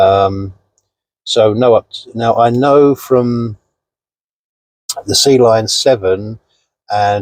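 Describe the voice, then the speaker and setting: A man speaks with a British accent. The recording is dry and close with no echo. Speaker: car reviewer vlogger. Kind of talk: casual vlog review. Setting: inside a parked car. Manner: loud.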